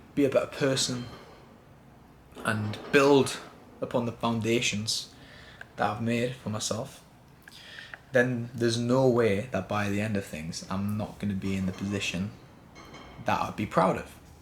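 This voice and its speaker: Against noticeable background noise, a man speaks at a moderate pace with ordinary pitch variation and long, frequent pauses. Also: medium pitch for a man. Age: 20s. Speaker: vlogger. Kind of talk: personal vlog monologue. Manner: casual.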